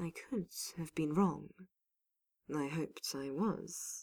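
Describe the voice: A soft-spoken woman uses a put-on character voice with low pitch and vocal fry. She talks at a slow pace and sounds strained. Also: ordinary pitch variation, slightly mellow tone, slightly husky edge.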